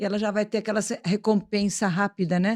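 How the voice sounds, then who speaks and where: A woman's normal speaking voice at a medium pitch and moderate pace, with fairly even intonation, dry and close with no echo, in a very clean recording with a silent background. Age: 60s. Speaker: podcast host and plastic surgeon. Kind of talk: interview podcast chat.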